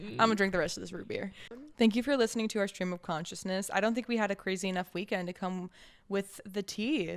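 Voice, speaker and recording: A woman with a slight Southern US accent talks very fast in an animated tone. Her pitch sits mid-range and varies in an ordinary way. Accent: slight Southern twang at times. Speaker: podcast co-host. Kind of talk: casual chat.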